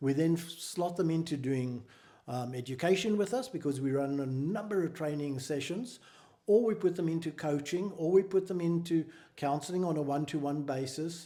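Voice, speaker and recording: A man speaks with a South African accent in a dark, mellow tone. His pace is moderate, with ordinary pitch variation. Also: fairly high pitch for a man. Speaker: mental health charity founder. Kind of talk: interview.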